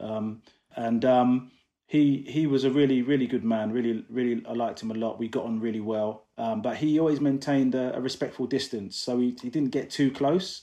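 In a London accent, a man speaks at a moderate pace with a medium pitch and fairly even intonation. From London, England. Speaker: equal rights activist. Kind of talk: interview.

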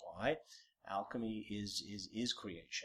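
Speaking at a moderate pace, a man with an American accent talks at a medium pitch. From United States. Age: 50s. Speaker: theater producer. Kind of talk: interview. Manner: hesitant, with fillers.

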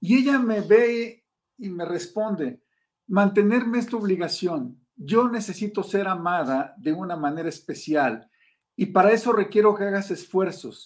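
A man's high-pitched voice at a fairly slow pace. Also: ordinary pitch variation. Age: 70s. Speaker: customer service consultant. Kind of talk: interview.

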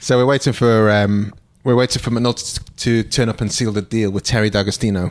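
Here a man talks in a British accent at a fairly quick pace. His pitch is medium and his intonation fairly even. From UK. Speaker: podcast co-host. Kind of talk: casual chat.

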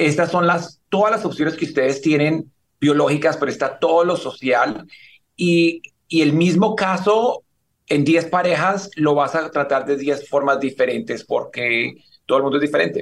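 This is an unremarkable speaking voice from a man, pitched fairly high. He talks at a moderate pace with ordinary pitch variation. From Colombia (Cali). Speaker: fertility doctor. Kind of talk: interview, explaining medical topics.

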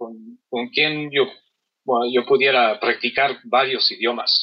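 The speaker is a man with an English accent. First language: English (speaking Spanish). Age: 40s. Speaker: carpet cleaner and polyglot. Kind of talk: interview. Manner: halting, many fillers.

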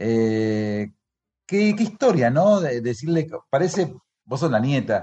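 His pitch swings very widely. This man's pace is very slow. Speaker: radio host. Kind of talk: radio interview. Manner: halting.

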